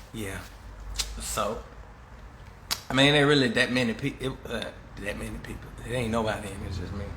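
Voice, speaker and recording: A man talks at a fairly quick pace, broken by long, frequent pauses, with big swings in loudness. Audible room echo and noticeable background noise are present. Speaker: live streamer. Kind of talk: casual monologue.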